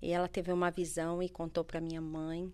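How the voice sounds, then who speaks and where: A woman at a moderate pace. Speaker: life coach. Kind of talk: testimony. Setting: studio.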